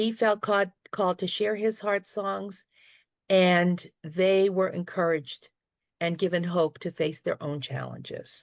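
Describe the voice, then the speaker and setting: A woman's fairly slow, fairly even speech in a Boston accent, dry and close with no echo against a quiet background. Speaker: retired teacher, panelist. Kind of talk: panel discussion remarks. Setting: video call.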